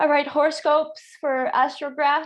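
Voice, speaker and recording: A woman speaks with a Quebec accent. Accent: French Canadian accent in English. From Quebec, French Canada. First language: French. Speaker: astrologer. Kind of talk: casual interview chat.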